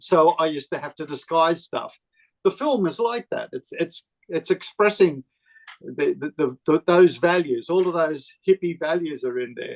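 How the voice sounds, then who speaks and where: At a moderate pace and with ordinary pitch variation, the speaker talks in an Australian accent, the sound dry and close with no echo. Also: man, high pitch for a man. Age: 70s. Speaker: film director. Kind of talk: interview.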